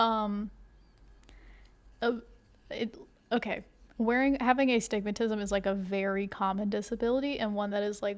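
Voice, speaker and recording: A soft-spoken woman talks with fairly even intonation at a fairly high pitch, leaving long, frequent pauses. The recording is very clean, with a silent background. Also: moderate pace. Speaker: crafting video creator. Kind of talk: casual chat. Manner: halting.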